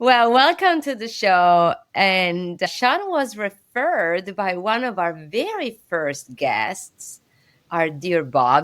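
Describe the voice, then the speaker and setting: A woman speaks with an Italian accent. Her pitch swings very widely. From Italy. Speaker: podcast host. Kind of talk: casual chat.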